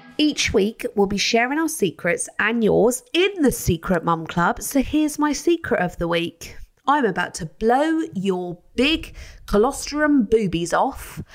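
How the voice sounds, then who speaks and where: Talking at a fairly slow pace, a woman uses a high pitch with very wide pitch swings. She speaks with a British accent. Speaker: podcast host. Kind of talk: casual chat.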